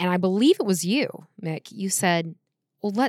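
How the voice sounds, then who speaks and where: A woman speaks with lively intonation at a medium pitch, the sound dry and close with no echo. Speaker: podcast host, entrepreneur and vocalist. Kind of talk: casual chat between spouses.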